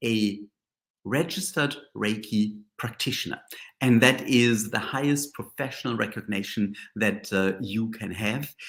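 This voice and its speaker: A man with a strong German accent at medium pitch, fairly slow with lively intonation, in a very clean recording with a silent background. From Germany. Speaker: Reiki master and teacher. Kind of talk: live-stream reflective talk. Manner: halting, many fillers.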